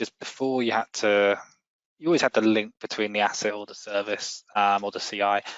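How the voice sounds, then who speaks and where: In a British accent, a man speaks at a fairly quick pace in a fairly low pitch, with fairly even intonation and big swings in loudness. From UK. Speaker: software company representative. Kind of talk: casual tech discussion.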